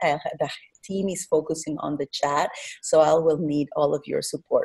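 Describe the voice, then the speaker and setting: A woman speaks with a Mexican accent at a fairly low pitch. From Mexico. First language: Spanish. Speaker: regenerative economies designer, presenter. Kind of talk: online presentation. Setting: online webinar. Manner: hesitant with fillers.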